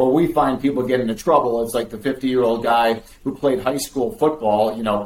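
A man's normal speaking voice at medium pitch, with a fairly quick pace. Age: 50s. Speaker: cardiologist. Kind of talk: interview.

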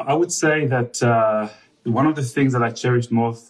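With an Israeli accent, a man speaks at a moderate pace. His pitch is medium with ordinary variation. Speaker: husband. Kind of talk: casual interview chat with wife.

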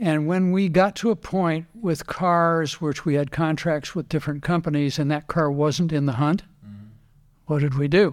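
On a very clean recording with a silent background, a man with an American accent speaks in an unremarkable speaking voice, fairly high in pitch, with fairly even intonation. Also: moderate pace. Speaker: racing driver and car builder. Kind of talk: interview. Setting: in his workshop.

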